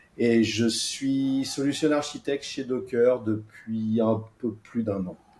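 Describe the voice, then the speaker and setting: Very slow, medium-pitched speech from a man, with fairly even intonation. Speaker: software architect. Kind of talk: podcast interview.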